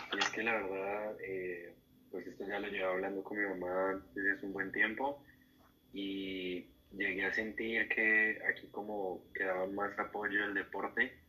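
A man's bright, sharp, fairly low voice, monotone and flat, at a fairly slow pace. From Colombia, Cali. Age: 18. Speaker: student athlete, migrant. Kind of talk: interview.

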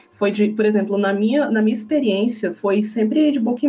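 Noticeable background noise surrounds a woman with a fairly high pitch. She keeps a moderate pace and ordinary pitch variation. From Brazil, Brasília. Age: 20s. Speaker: cosplayer and language teacher. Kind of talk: casual chat.

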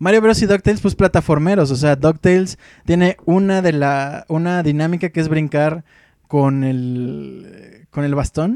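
Fairly slow and dark, mellow in tone, a man's fairly high voice shows ordinary pitch variation in a dry, close recording with no echo. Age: 30s. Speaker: radio host. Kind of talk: casual chat.

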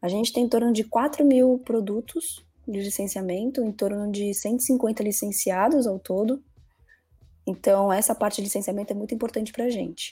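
With a dark, mellow tone and a somewhat breathy quality, the speech goes at a moderate rate and shows ordinary variation in pitch. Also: woman, fairly high pitch for a woman. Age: 20s. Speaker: marketing executive. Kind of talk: interview.

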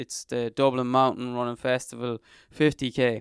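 A medium-pitched man with an Irish midlands accent, dry and close with no echo, against a quiet background. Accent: Irish (north midlands). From Ireland, County Leitrim. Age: 30s. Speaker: ultra trail runner. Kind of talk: interview.

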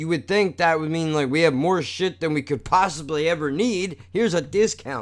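A man with an ordinary speaking voice, fairly high pitch and lively intonation. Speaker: podcast host. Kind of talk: angry rant, profane, venting about money, doctors and warehouse store fees; casual solo monologue, self-deprecating rant. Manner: casual and unscripted, rambling with sighs and throat clears.

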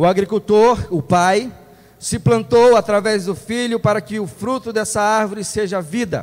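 Talking at a fairly slow pace, a man uses a high pitch with ordinary pitch variation. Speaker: lay preacher. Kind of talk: sermon. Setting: church.

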